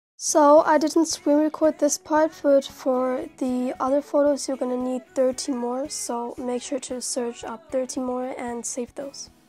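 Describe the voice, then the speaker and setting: A woman's high voice at a fairly slow pace with hardly any pauses, fairly even intonation and big swings in loudness, over noticeable background noise. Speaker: video editing tutorial creator. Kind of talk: casual screen-recorded software tutorial.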